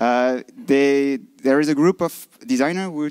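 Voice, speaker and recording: A man with a French-Swiss accent, his fairly high voice dark and mellow in tone, with lively intonation and a dry, close sound with no echo on a very clean recording with a silent background. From French-speaking Switzerland. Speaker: design conference speaker. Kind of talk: lightning talk presentation. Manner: halting.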